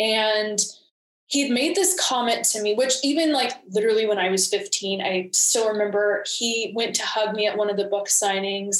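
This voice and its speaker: A woman speaks at a moderate pace and medium pitch in an ordinary speaking voice. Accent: American. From Georgia, US South (Atlanta suburbs). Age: 20s. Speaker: photographer and videographer, abuse survivor. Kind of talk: interview testimony.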